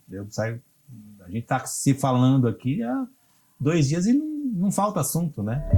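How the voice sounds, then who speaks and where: A man talks at a fairly slow pace and a fairly high pitch, with very wide pitch swings. Long, frequent pauses break up his speech while music plays in the background. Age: 60s. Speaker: cultural producer and musician. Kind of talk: interview. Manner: halting, many fillers.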